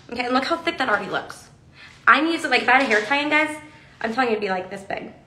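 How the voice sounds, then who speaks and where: A woman's raised, projected voice with an American accent, high in pitch, at a very fast pace, with audible room echo and light background noise. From Texas. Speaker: hair accessory brand presenter; presenter. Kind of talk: livestream tutorial. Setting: Instagram live video. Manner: animated. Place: studio. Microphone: phone near.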